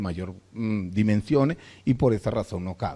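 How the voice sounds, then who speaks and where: Lively intonation and a moderate pace from a man with a fairly low pitch. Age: 60s. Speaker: veterinarian. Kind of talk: lecture. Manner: halting, many fillers and restarts.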